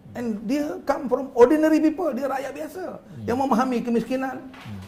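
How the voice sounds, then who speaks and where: Noticeable background noise and audible room echo around a male speaker with ordinary pitch variation. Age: 60s. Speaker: politician. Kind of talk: talk show interview. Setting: studio.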